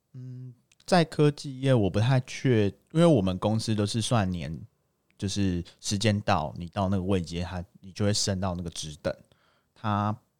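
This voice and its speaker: The recording is very clean, with a silent background. A man with a fairly low pitch uses an ordinary speaking voice with lively intonation. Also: fairly slow pace. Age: 20s. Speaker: engineer. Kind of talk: casual chat.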